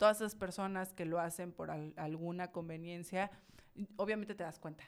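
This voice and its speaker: A woman talks at a moderate pace in monotone, flat intonation. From Mexico, Villahermosa, Tabasco. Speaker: charity founder and entrepreneur. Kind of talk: casual interview.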